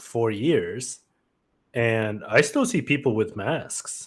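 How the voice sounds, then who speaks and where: In a very clean recording with a silent background, a man speaks at a very slow pace with lively intonation. His medium-pitched voice is somewhat breathy. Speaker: podcast co-host. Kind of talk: casual chat. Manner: mumbling.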